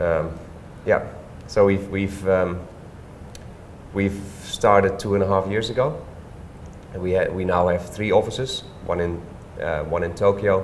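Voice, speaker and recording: A man with a Dutch accent speaks at a moderate pace in a fairly low pitch with fairly even intonation and long, frequent pauses. Audible room echo and noticeable background noise are present. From Netherlands, Staphorst. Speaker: hotelier and property developer. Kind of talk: interview. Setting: co-working office.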